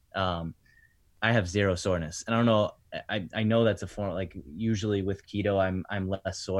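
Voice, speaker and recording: A man with an ordinary speaking voice talks at a fairly quick pace. His pitch sits fairly low, with fairly even intonation. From Rhode Island, US. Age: 30s. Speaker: personal trainer. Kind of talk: casual chat. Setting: remote call.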